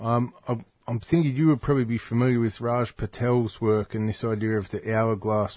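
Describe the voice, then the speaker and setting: With an Australian accent, a man talks at a moderate pace and medium pitch. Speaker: radio co-presenter. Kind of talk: radio discussion.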